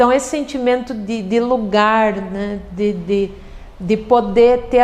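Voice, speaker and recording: Speaking very slowly, a woman with a fairly high pitch keeps her intonation fairly even. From southern Brazil, Passo Fundo, Rio Grande do Sul. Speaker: poet. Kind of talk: interview conversation. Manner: reflective, hesitant with repetitions.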